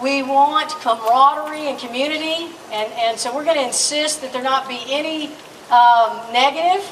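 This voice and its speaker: Loud and high-pitched, a woman speaks at a moderate pace with ordinary pitch variation, over noticeable background noise and audible room echo. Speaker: rally emcee. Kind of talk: public address at rally. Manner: energetic.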